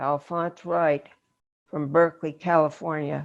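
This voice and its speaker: A put-on, growling character voice at middle pitch and a fairly slow pace. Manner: slow, measured.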